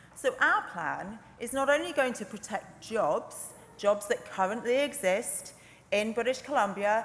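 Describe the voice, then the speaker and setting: At a fairly slow pace, a woman speaks with ordinary pitch variation. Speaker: legislator in debate. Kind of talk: parliamentary speech. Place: hall. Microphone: podium.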